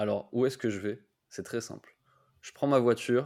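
On a very clean recording with a silent background, a man talks in a monotone, flat intonation. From France and Japan. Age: 20s. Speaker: YouTuber. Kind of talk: interview.

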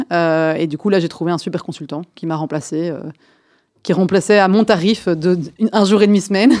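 In a very clean recording with a silent background, a woman with an unremarkable speaking voice talks at a fairly quick pace, with a fairly low pitch and ordinary pitch variation. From Belgium, Brussels. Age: 30s. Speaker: startup founder and CEO. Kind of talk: radio interview.

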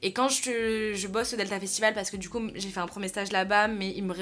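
The woman talks fairly quickly in a medium pitch with fairly even intonation. There is noticeable background noise. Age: 20s. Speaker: influencer talent manager. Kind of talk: casual chat.

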